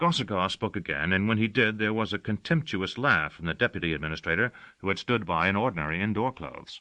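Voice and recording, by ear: The voice sounds natural. It is reading aloud.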